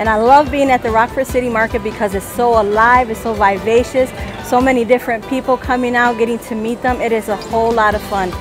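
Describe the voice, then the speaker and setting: A woman talks at a very fast pace in a flat monotone, her voice dry with no echo and clear music playing in the background. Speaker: food stall vendor. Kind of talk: interview answer. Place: market. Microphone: lapel.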